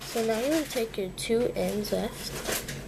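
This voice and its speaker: Audible room echo and noticeable background noise around a woman speaking. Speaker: craft tutorial video maker. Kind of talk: tutorial. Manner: casual, chatty.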